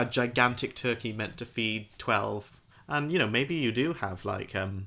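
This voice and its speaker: In a British accent, the speaker talks at a fairly slow pace with a bright, sharp tone and ordinary pitch variation, on a very clean recording with a silent background. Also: man, medium pitch for a man. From Britain. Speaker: podcast co-host. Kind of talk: casual chat.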